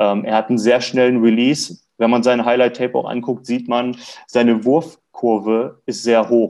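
A man talks at a moderate pace in a plain, everyday voice. His pitch is medium, the intonation fairly even, and the background quiet. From Lower Saxony, Germany (near Hildesheim). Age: 20s. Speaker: basketball fan club draft expert. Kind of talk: casual sports podcast chat.

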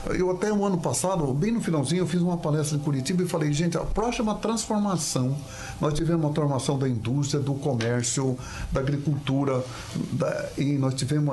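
Fairly quick speech from a man at a fairly high pitch, with audible room echo and noticeable background noise. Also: very even loudness. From Paraná, Brazil. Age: 70s. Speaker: businessman. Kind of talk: interview.

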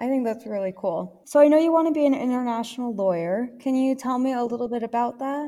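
A woman with an American accent talks at a very fast pace with hardly any pauses, her high voice dark and mellow in tone with ordinary pitch variation. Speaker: student podcast host. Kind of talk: interview. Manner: formal.

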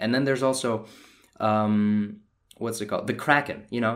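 His voice sits at a medium pitch for a man. The pitch moves up and down in an ordinary way. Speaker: podcast host reviewing a movie. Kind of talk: solo movie review rant. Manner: casual, animated.

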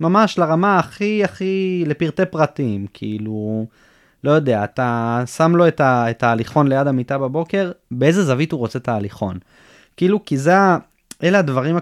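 Pitched fairly high, a man's voice swings very widely up and down. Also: moderate pace, quiet background. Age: 20s. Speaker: former combat soldier, rehab patient. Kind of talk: interview testimony.

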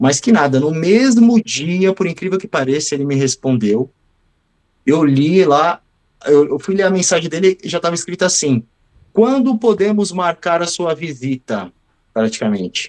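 High-pitched male speech with very wide pitch swings, a moderate pace, and a dry, close sound with no echo. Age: 40s. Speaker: physical education teacher and ex-steroid user. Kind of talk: interview. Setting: remote call.

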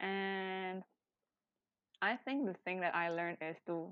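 A woman speaks with an Indonesian accent at medium pitch. Her pitch varies in an ordinary way. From Indonesia, Chinese descent. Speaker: podcast co-host. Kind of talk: casual chat.

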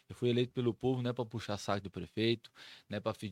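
A man talks very fast on a very clean recording with a silent background and a dry, close sound free of echo. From Brazil, Mato Grosso do Sul (São Gabriel do Oeste). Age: 40s. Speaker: city councillor. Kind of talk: casual interview.

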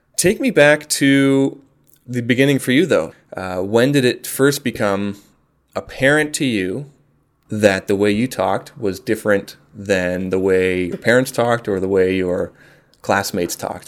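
This man has a normal speaking voice at medium pitch. He talks at a fairly slow pace. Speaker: podcast host. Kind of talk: casual interview.

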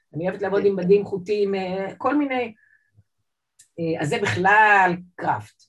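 A woman at a moderate pace, medium in pitch with ordinary variation, with long, frequent pauses. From Israel, Jerusalem (born in Saint Petersburg, immigrated 1978 as a child). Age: 50s. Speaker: artist. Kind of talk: interview. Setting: video call.

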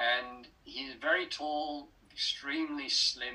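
Speaking at a very slow pace, a man talks with an English accent. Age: 70s. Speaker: writer and speaker. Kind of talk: interview. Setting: video call.

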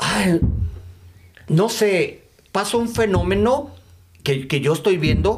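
Very slow and marked by long, frequent pauses, a man's speech keeps very even loudness amid audible room echo. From Mexico, Chihuahua. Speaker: event promoter and business founder. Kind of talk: casual interview.

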